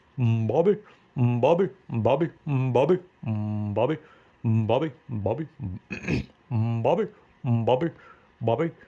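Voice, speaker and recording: Using a put-on character voice at a medium pitch, a man speaks at a fairly slow pace, leaving long, frequent pauses. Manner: drawn-out, calling repeatedly.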